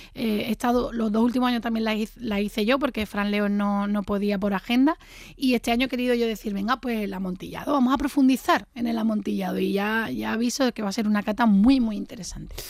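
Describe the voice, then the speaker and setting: A woman with a fairly high pitch talks at a very fast pace, with hardly any pauses. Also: fairly even intonation. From Jerez, Andalusia. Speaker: wine tasting organizer. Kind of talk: casual chat.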